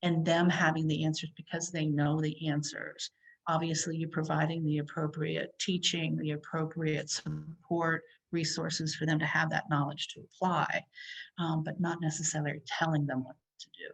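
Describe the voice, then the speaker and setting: A woman talks at a moderate pace in a very deep, low pitch. Her voice is somewhat breathy, with monotone, flat intonation. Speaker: psychologist presenting a workshop. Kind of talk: lecture.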